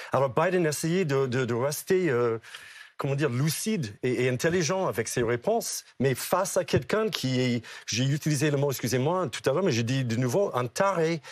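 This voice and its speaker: With an American accent, a man speaks at a moderate pace in a fairly high voice with lively intonation and very even loudness, on a very clean recording with a silent background. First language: English (speaking French). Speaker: political commentator. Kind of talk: TV panel debate. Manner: animated.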